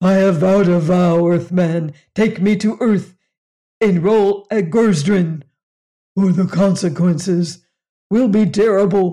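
Using a put-on character voice, a man speaks at a high pitch and a fairly slow pace, with long, frequent pauses. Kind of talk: formal, archaic. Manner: bellowing.

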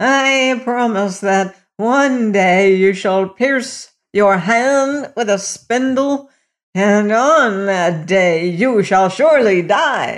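A put-on character voice, shaky and creaky, with a fairly high pitch. It moves along at a very slow pace. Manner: spiteful, menacing.

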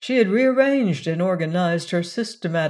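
The voice is plain reading aloud delivered with lively intonation.

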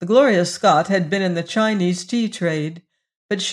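The speaker is reading aloud in a natural voice, with ordinary pitch variation over a quiet background.

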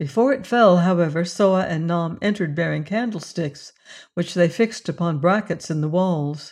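Over a quiet background, a woman with a normal speaking voice talks at a moderate pace and fairly low pitch, with ordinary pitch variation. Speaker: audiobook narrator. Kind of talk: dramatic narration of a classic adventure novel, with tense, menacing character voices. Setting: studio. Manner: suspenseful, hushed and menacing in the threats, tremulous for Juana.

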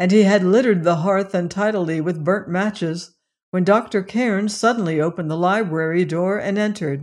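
Plain reading aloud, with ordinary pitch variation, is heard against a quiet background.

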